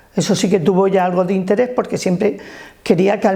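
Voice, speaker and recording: A woman speaks at a fairly quick pace with a medium pitch and ordinary pitch variation over noticeable background noise. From Alicante province, Spain (Alto Vinalopó, rural). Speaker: trade unionist. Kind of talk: life-story interview.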